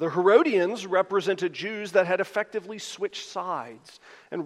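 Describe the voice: The speaker reads plainly aloud with ordinary pitch variation.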